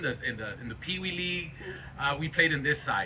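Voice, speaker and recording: A man talks at a fairly quick pace with an American accent. Noticeable background noise runs behind him. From South Texas, Rio Grande Valley. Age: 40s. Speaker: mayor. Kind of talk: public speech at a ceremony. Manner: halting, many repetitions.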